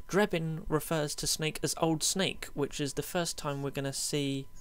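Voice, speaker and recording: A man speaks at a fairly high pitch. The recording is very clean with a silent background. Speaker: gaming YouTuber. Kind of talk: gameplay commentary. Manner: fast; casual, many fillers.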